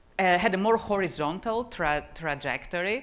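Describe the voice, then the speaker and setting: Recorded very cleanly against a silent background, a woman talks at a fairly low pitch. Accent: Greek. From Greece. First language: Greek. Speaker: tech executive and conference speaker. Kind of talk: conference talk. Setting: conference stage with audience. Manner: animated, speaks with her hands; stammers on some words.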